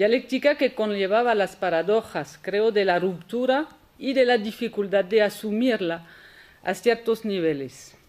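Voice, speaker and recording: Speaking at a fairly slow pace with a French accent, the woman has a fairly high pitch and ordinary pitch variation. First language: French (speaking Spanish). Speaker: historian, conference speaker. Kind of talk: academic lecture. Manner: halting, with repetitions.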